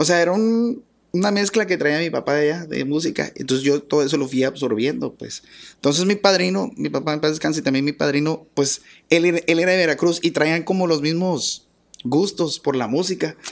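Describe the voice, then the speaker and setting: Lively intonation runs through this fairly quick delivery, set against a quiet background. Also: man, fairly high pitch for a man. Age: 40s. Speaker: accordionist, musician; podcast guest. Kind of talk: interview. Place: studio. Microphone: studio mic.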